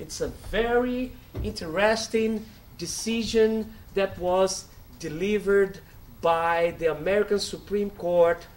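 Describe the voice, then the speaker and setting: Someone with a Brazilian Portuguese accent speaks at a very slow pace with fairly even intonation. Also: man, high pitch for a man. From Brazil, Bahia. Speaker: law professor. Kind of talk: lecture.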